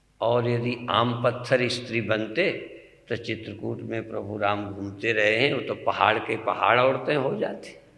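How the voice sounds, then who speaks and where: Ordinary pitch variation from a man, set against noticeable background noise. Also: medium pitch for a man. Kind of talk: religious discourse.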